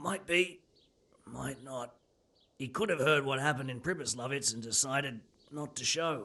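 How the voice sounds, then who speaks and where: A man puts on a raspy character voice at medium pitch, speaking at a moderate pace with ordinary pitch variation and long, frequent pauses. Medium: video game. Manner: blunt, coarse, cynical.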